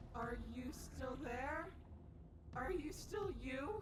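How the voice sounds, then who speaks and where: A woman does a put-on character voice with a high pitch at a very slow pace over loud background noise. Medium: video game. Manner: slow, eerie, repetitive.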